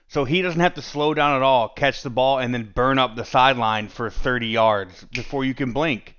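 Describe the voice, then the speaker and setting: A man talks in a plain, everyday voice at medium pitch, with ordinary pitch variation. His pace is moderate, with hardly any pauses. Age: 30s. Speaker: sports podcast host. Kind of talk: solo sports podcast monologue.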